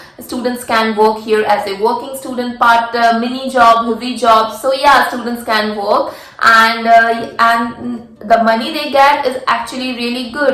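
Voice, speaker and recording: A woman with an Indian accent speaks at a moderate pace in a fairly high pitch with monotone, flat intonation. Noticeable background noise is present. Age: 20s. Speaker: international master's student. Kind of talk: casual talk to camera.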